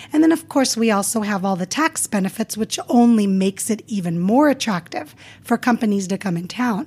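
Somewhat breathy, a woman speaks at a fairly quick pace with lively intonation and hardly any pauses. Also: fairly high pitch for a woman. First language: not English. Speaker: motivational speaker and author. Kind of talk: interview.

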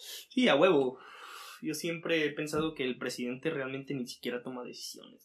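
A man talks in a normal speaking voice with a fairly high pitch. His pace is moderate, and his loudness swings widely. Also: ordinary pitch variation. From Mexico, Aguascalientes. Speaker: cook. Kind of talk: casual chat. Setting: in person, same room.

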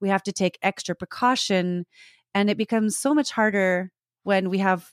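With an ordinary speaking voice at medium pitch, a woman talks at a moderate pace with fairly even intonation, captured as a dry, close sound with no echo in a very clean recording over a silent background. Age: 40s. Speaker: personal support worker and actor. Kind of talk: casual interview.

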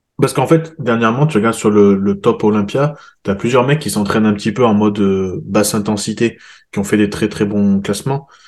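An ordinary speaking voice from a man, fairly low-pitched and fairly quick, with fairly even intonation over a quiet background. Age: 30s. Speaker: podcast host and fitness coach. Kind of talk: casual chat; sponsor plug.

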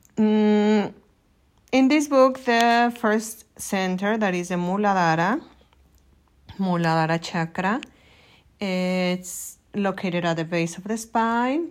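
Her pace is very slow, with lively intonation and medium pitch, as a woman with a Mexican accent speaks in a very clean recording with a silent background. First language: Spanish. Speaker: yoga teacher. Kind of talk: solo podcast monologue.

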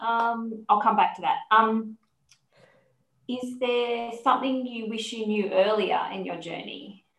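In an Australian accent, a woman speaks fairly slowly at a fairly high pitch, her intonation fairly even. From Sydney, Australia. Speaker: health podcast host. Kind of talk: interview, casual chat.

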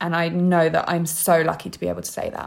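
A woman with a London accent speaks in a fairly low voice with vocal fry. Her intonation is monotone and flat. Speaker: model and writer. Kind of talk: interview conversation. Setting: remote call.

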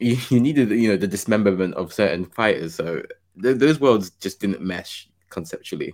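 An ordinary speaking voice talks at a moderate pace. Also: man, fairly low pitch for a man, lively intonation. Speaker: podcast host. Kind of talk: casual chat.

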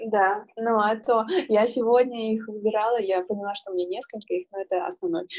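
An ordinary speaking voice from a woman, fairly high in pitch with ordinary pitch variation, at a fairly quick pace. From Siberia, Irkutsk region, Russia. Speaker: podcast co-host, sales manager. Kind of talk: casual chat.

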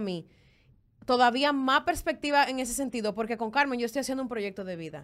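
Talking at a fairly quick pace, a woman uses a high pitch with very wide pitch swings. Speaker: former podcast co-host. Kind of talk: casual chat.

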